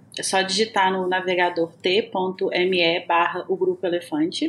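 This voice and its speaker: A woman with a Minas Gerais accent talks at medium pitch. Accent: Minas Gerais (mineiro) Portuguese. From Brazil, Minas Gerais. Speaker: podcast co-host. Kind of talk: scripted announcement; casual chat.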